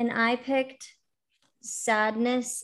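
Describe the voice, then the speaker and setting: A woman speaks in a plain, everyday voice at a fairly high pitch, with ordinary pitch variation. The recording is very clean, with a silent background. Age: 20s. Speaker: podcast co-host. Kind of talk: casual chat.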